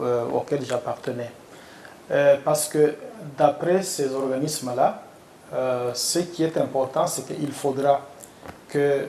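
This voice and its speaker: A man with a Congolese accent talks at a fairly high pitch and a very slow pace, with fairly even intonation and long, frequent pauses. Noticeable background noise is present. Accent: Congolese French accent, easy to understand. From Democratic Republic of the Congo. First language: Tshiluba (speaking French). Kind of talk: interview.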